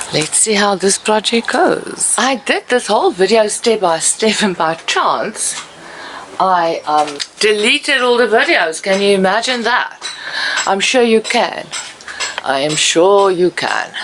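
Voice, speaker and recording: With a non-native accent, a woman speaks fairly slowly at a medium pitch with lively intonation, over noticeable background noise. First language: not English. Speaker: DIY and garden video maker. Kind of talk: hands-on tutorial. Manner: hesitant, with frequent fillers.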